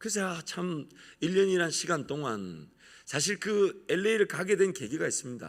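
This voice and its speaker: A man speaks with a strong Gyeongsang accent, his pitch swinging very widely in an animated tone with vocal fry. The recording is very clean, with a silent background. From Gyeongsang region, South Korea. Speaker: pastor. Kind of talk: sermon.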